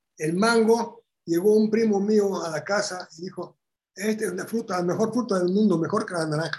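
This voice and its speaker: Here a man speaks at a moderate pace in a high pitch with ordinary pitch variation. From Bulgaria. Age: 80s+. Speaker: Holocaust survivor. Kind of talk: interview.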